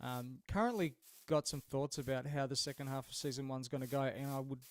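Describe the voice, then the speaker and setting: A man with an Australian accent. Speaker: video game streamer. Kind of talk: casual live stream chat. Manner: halting, many fillers.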